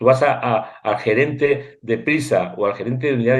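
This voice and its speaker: This man's voice sits at a medium pitch. He keeps a moderate pace. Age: 60s. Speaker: war reporter and photographer. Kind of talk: interview. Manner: animated.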